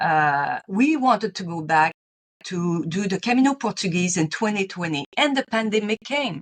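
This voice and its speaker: Speaking in a Quebec accent, a woman uses a fairly low pitch. Her intonation is lively. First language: French. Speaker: retired teacher and pilgrim author. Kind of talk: interview.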